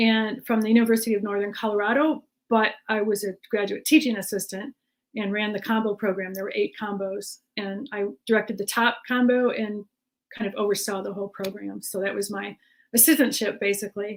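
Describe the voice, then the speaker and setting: A normal speaking voice at a fairly quick pace. The intonation stays fairly even. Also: woman, fairly high pitch for a woman. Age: 60s. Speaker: jazz musician. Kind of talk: panel discussion.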